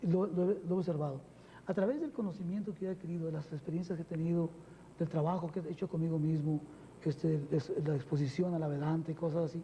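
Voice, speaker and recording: A man's dark, mellow tone, high in pitch, with fairly even intonation, a very fast pace and long, frequent pauses. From Mexico. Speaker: spiritual teacher. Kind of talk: TV interview. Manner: many fillers, frequent ¿verdad?.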